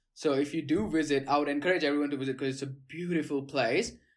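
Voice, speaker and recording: A speaker with an Indian accent talks with ordinary pitch variation on a very clean recording with a silent background. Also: man. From Gujarat, India. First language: Gujarati. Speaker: guest from India living in Australia. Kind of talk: casual conversation.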